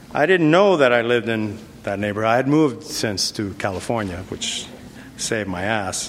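There is noticeable background noise behind this man's voice. He speaks with an American accent, medium pitch and lively intonation. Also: moderate pace. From New York City, South Bronx. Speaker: business executive. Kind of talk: lecture. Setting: stage with audience.

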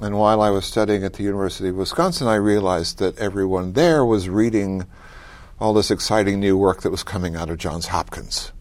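Speaking very fast with an American accent, a man uses a fairly low pitch and ordinary pitch variation. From US South, mountains of North Carolina. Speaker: professor. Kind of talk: interview.

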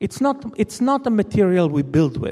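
A man speaks in a high pitch with a dark, mellow tone. His pitch swings very widely at a moderate pace. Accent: Israeli. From Israel, Jerusalem. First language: Hebrew. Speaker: novelist. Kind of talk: lecture. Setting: stage with audience.

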